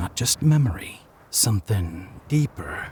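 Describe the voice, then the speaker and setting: Very slowly, a man speaks in a somewhat breathy voice, the sound dry and close with no echo. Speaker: audiobook narrator. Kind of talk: horror story narration.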